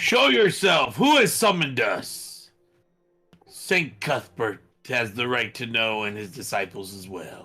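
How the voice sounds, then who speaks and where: A man puts on a character voice at a medium pitch, speaking at a fairly slow pace with very wide pitch swings and big jumps in loudness. Faint music plays in the background. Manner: commanding, demanding.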